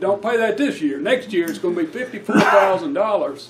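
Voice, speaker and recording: With an Alabama accent, a man speaks in a high pitch with very wide swings over noticeable background noise. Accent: US Southern, Alabama. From Alabama, Etowah County. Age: 60s. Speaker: labor union leader. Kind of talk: keynote speech.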